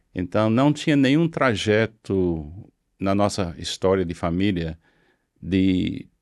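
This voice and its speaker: Over a silent background in a very clean recording, a man speaks very slowly in a fairly low voice with lively intonation. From US South, Florida (Miami). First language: English (speaking Portuguese). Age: 70s. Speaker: pastor. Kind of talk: interview testimony. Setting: studio.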